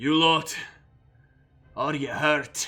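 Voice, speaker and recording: A man uses a put-on character voice at a fairly high pitch. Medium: actual play. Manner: grim, formal.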